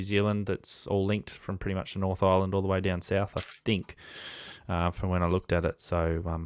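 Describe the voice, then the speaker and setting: Someone with an Australian accent speaks fairly quickly in a flat monotone on a very clean recording with a silent background. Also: man. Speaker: amateur radio operator. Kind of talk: casual conversation.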